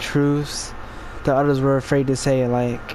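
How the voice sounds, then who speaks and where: A man speaks with monotone, flat intonation. There is noticeable background noise. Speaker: podcaster and gamer. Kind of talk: casual talk while gameplay. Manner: halting, stumbling over words.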